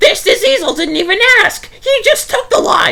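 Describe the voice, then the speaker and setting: At a moderate pace, a put-on character voice sounds squeaky and extremely high. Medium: read story.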